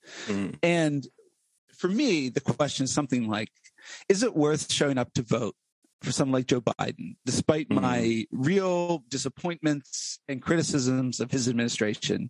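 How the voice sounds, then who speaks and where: A man's unremarkable speaking voice with an American accent, fairly high in pitch, at a moderate pace with lively intonation, dry and close with no echo. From central Pennsylvania, US. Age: 40s. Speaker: political podcast host, guest here. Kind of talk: casual political discussion.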